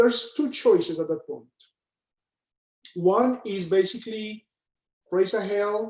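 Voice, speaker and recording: At a very slow pace, a man speaks in a high pitch with ordinary pitch variation. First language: Spanish. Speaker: panelist, banker. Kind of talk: panel discussion, personal story. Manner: hesitant, many fillers.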